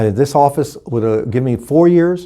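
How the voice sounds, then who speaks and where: A man with an American accent and an unremarkable speaking voice, ordinary pitch variation and a moderate pace, on a very clean recording with a silent background. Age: 60s. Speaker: political candidate. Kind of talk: interview.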